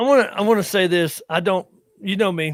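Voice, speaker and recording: With a Southern US accent, a man talks at a high pitch. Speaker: veteran podcast host. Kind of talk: casual chat. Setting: live stream.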